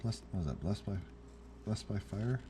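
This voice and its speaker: With lively intonation, a man talks over noticeable background noise. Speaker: hobbyist video maker. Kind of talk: casual tutorial narration. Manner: halting, filler-heavy.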